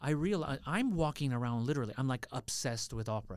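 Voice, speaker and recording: Speaking in an American accent, a man shows ordinary pitch variation. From US, Los Angeles area. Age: 40s. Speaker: opera singer. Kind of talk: casual chat.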